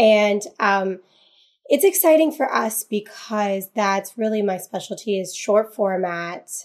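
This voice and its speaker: Using an unremarkable speaking voice, a woman talks at a fairly slow pace and medium pitch. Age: 30s. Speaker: social media agency founder and influencer. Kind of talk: casual interview.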